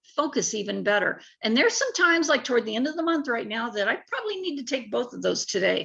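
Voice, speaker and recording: Marked by vocal fry, a woman's bright, sharp tone rises and falls with lively intonation. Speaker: network marketing sales rep. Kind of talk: sales pitch.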